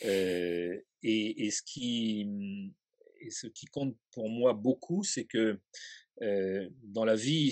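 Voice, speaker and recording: Lively intonation marks this man's medium-pitched voice. The sound is dry and close with no echo, against a quiet background. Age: 60s. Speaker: historian. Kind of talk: interview.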